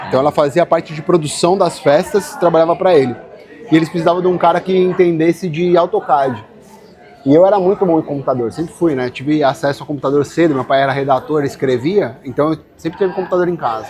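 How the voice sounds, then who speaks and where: Over crowd noise in the background, a man with a high-pitched voice talks very fast, his pitch varying in an ordinary way. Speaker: furniture designer. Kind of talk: casual interview chat.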